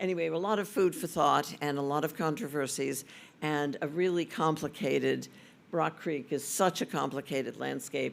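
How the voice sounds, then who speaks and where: The recording is very clean with a silent background as a man talks at a moderate pace, his pitch varying in an ordinary way. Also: fairly high pitch for a man. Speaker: session moderator. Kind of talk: moderating a panel.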